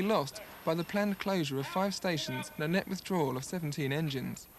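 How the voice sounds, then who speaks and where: A man talks at a very fast pace in a fairly high pitch. There is noticeable background noise. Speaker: TV news reporter. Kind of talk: TV news report narration.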